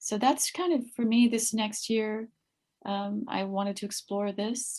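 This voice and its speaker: In an American accent, a woman speaks with a calm tone at a fairly slow pace, her fairly high voice somewhat breathy and showing ordinary pitch variation. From California. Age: 50s. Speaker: meditation group leader. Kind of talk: interview.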